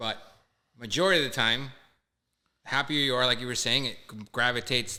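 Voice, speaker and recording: At a fairly quick pace, a man with a Canadian accent speaks in a bright, sharp tone, medium in pitch with ordinary pitch variation. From Canada, Toronto. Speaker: guest. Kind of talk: casual chat.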